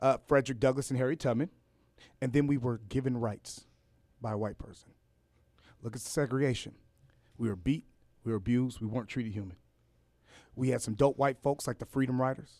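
A man with an American accent talks at a very fast pace with fairly even intonation. Long pauses come often. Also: medium pitch for a man. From Los Angeles, California. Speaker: rapper and educator. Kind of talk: radio interview.

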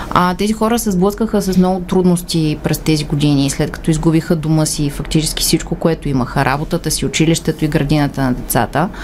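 With hardly any pauses, a woman talks at a fairly quick pace in a very deep, low pitch over noticeable background noise. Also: ordinary pitch variation. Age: young. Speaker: human rights organisation communications director. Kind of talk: radio interview.

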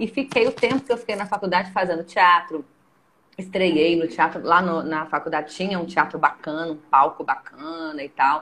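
A woman's fairly low-pitched voice with a bright, sharp tone. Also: ordinary pitch variation, moderate pace. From Caratinga, Minas Gerais, Brazil. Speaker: theatre teacher and director. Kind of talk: casual chat.

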